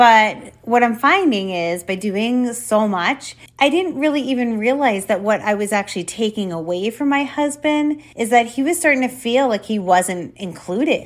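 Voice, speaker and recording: With hardly any pauses, a woman in a normal speaking voice talks at a moderate pace, her fairly high pitch carried by lively intonation. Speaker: podcast host. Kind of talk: casual conversational interview. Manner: warm, friendly.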